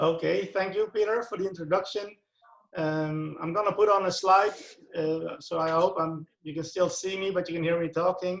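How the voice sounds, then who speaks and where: This man speaks with a Dutch accent. His pitch is high. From Netherlands. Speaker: youth football coach and author. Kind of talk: presentation. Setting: video call.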